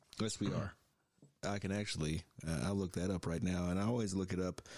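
A man speaks at a fairly quick pace with ordinary pitch variation. His voice is very deep and low. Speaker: podcast host. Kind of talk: casual chat.

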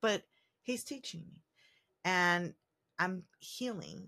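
An unremarkable speaking voice moves at a fairly slow pace. The recording is very clean, with a silent background. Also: woman. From San Diego, US, Mexican and Puerto Rican heritage. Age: 30s. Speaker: podcast host. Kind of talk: casual monologue. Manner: casual, many fillers.

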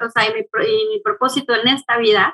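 A woman's raised, projected voice, high in pitch and bright and sharp in tone, with a dry, close sound and no echo. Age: 40s. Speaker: angel channeler and therapist. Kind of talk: casual interview.

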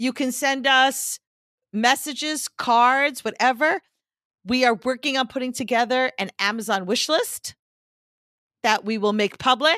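A woman's high, bright and sharp voice, raised and projected, fairly slow with long, frequent pauses and ordinary pitch variation, on a very clean recording with a silent background and a dry, close sound with no echo. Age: 60s. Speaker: podcast co-host. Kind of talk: casual chat.

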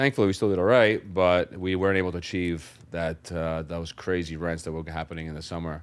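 Fairly quick and with hardly any pauses, the speaker keeps a fairly even intonation in a New York accent. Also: man, very deep, low pitch for a man. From New York City, Brooklyn. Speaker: real estate investor. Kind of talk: interview. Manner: halting.

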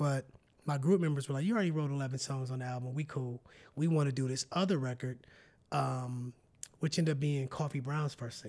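Fairly high in pitch, a man talks at a fairly quick pace with fairly even intonation in a very clean recording with a silent background. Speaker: singer and songwriter. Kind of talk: casual interview chat.

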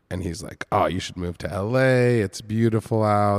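A man speaks at a moderate pace with fairly even intonation. The recording is very clean, dry and close with no echo, and the background is silent. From US Northeast, Boston area. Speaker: artist. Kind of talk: casual interview. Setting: gallery, in-person.

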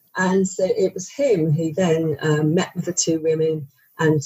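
A woman with a British accent talks at a fairly slow pace in a fairly low, somewhat breathy voice. Her intonation stays fairly even. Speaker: journalist and author. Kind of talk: interview.

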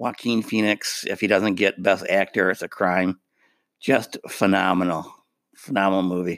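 Recorded very cleanly with a silent background and a dry, close sound with no echo, a man with an unremarkable speaking voice talks at a fairly low pitch, moderate pace and fairly even intonation. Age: 50s. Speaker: podcast co-host. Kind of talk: casual chat.

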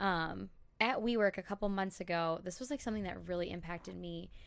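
A woman with an American accent talks at a very fast pace. Her pitch is medium. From Minnesota, Elk River. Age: 20s. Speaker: instagram brand account manager. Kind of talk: casual chat.

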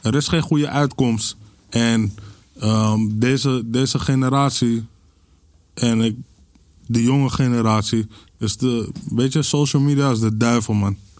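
A man at a fairly slow pace with long, frequent pauses, fairly even intonation and very even loudness, on a very clean recording with a silent background. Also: medium pitch for a man. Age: 30s. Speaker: podcast guest. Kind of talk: casual chat.

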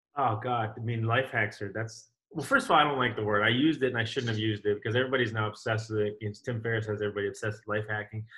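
A man talks very fast, with hardly any pauses. He has an American accent and fairly even intonation. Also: medium pitch for a man. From New York City. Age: 30s. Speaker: CrossFit coach. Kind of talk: casual chat.

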